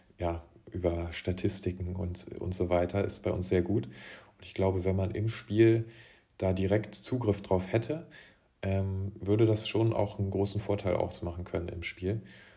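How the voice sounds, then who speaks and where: A man with a very deep, low pitch, dark, mellow tone and somewhat breathy delivery, fairly even intonation, big swings in loudness and a fairly slow pace. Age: 20s. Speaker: professional beach volleyball player. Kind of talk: casual interview.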